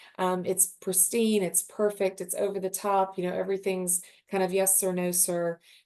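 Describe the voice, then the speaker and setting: Here a woman speaks with a Southern US accent. Her pace is moderate. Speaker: luxury hotel sales representative. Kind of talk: webinar presentation. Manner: animated.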